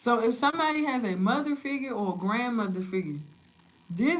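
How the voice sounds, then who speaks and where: A woman's fairly high, lively voice at a fairly quick pace, with audible room echo. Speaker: tarot reader. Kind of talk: tarot reading livestream. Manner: loud; animated.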